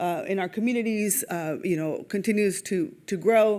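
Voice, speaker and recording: Her pitch sits at a medium level for a woman and shows ordinary variation. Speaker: nonprofit executive presenting at a symposium. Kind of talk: conference presentation. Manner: fast; hesitant, many fillers.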